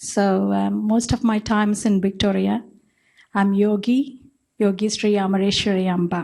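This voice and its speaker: Against a quiet background, a woman speaks at medium pitch in a somewhat breathy voice. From India. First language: not English, Indian language. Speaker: spiritual teacher, guru. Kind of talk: panel introduction.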